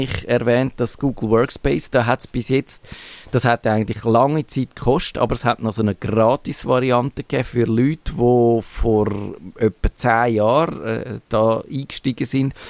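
In a Swiss accent, the speech moves at a moderate pace with ordinary pitch variation and a dry, close sound with no echo. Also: man. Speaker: podcast host. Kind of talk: casual chat.

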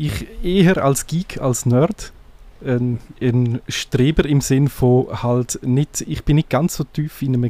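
This voice has a dark, mellow tone and a Graubünden Swiss accent. Pitch varies in an ordinary way, and the sound is dry and close with no echo. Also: man. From Graubünden, eastern Switzerland. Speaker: blogger and podcaster. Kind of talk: interview.

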